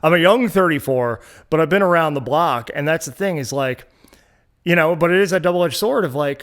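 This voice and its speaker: A man with an unremarkable speaking voice, fairly high in pitch, at a fairly quick pace with ordinary pitch variation. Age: 30s. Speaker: music promoter and blogger. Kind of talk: casual chat.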